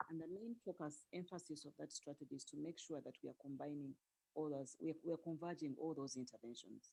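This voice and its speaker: A soft-spoken woman has a dark, mellow tone and a very deep, low pitch. She speaks very fast, with ordinary pitch variation. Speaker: health ministry official, doctor. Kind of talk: panel presentation. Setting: video call. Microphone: too quiet.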